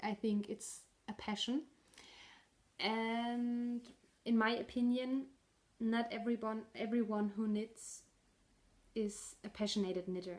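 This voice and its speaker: With a German accent, a woman talks very slowly in a fairly high pitch, her intonation monotone and flat, with long, frequent pauses. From northern Germany. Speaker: knitting podcaster. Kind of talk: casual video podcast monologue. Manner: halting, with fillers and restarts.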